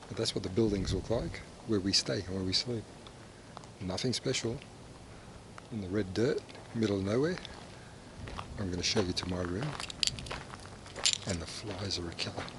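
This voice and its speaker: A soft-spoken man with a fairly low pitch and ordinary pitch variation speaks at a moderate pace, leaving long, frequent pauses, over noticeable background noise. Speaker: vlogger and mining camp worker. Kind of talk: casual travel vlog. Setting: outdoors walking around a mining camp. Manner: hesitant, many fillers; softly spoken to avoid waking night shift.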